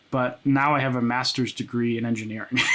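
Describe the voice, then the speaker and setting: A man talks in a plain, everyday voice, keeping a moderate pace. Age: 20s. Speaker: music producer and content creator. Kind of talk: casual chat. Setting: home studio. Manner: casual, many filler words.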